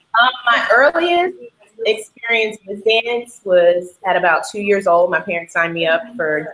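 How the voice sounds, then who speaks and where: A woman with an unremarkable speaking voice and an American accent talks at a medium pitch and fairly slow pace, her loudness swinging widely. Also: lively intonation. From Atlanta, Georgia, US South. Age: 20s. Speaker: dancer and choreographer. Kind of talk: interview. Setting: video call.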